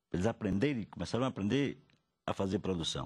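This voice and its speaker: Lively intonation marks this man's very fast delivery. His tone is dark and mellow. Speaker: cultural producer. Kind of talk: interview. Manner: halting.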